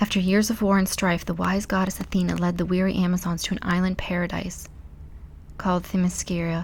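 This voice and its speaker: Soft-spoken, a woman talks at a moderate pace. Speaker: ASMR channel host. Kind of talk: ASMR soft-spoken book reading, bedtime story style.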